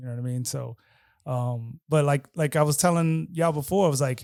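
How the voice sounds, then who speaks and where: On a very clean recording with a silent background, a man talks very fast in a fairly high pitch. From Queens, New York City. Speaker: DJ. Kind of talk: podcast interview, casual chat.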